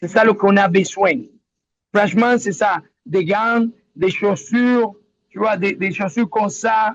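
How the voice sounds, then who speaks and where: A man's high-pitched voice at a fairly slow pace, with ordinary pitch variation and long, frequent pauses. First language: Spanish (speaking French). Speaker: local resident in disaster zone. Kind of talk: webinar testimony. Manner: halting.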